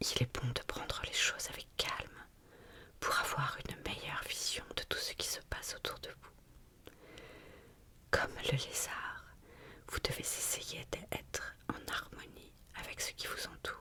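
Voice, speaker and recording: A woman whispering at a fairly slow pace, with long, frequent pauses and noticeable background noise. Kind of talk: ASMR whispered reading of symbolism notes. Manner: whispered, soft.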